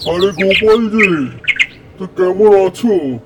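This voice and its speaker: A man performs a cartoonish character voice at a high pitch. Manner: condescending.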